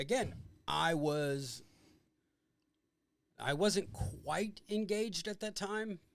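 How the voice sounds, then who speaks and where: The voice is loud, with lively intonation. Delivery is very slow, with long, frequent pauses. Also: man, high pitch for a man. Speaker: podcast host, army veteran. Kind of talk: casual chat.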